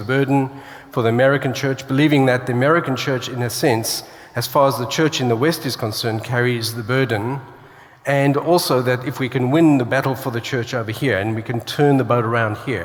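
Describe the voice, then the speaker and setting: A man's medium-pitched voice at a fairly quick pace, with fairly even intonation, audible room echo and noticeable background noise. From Australia (born in South Africa). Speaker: author and church speaker. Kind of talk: conference keynote. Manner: hesitant, many fillers.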